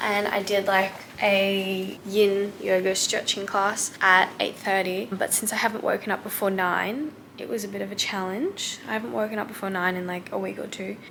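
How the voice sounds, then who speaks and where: A woman at a moderate pace, medium in pitch, with an Australian accent, fairly even intonation and noticeable background noise. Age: 20s. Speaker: vlogger. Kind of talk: travel vlog. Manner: casual.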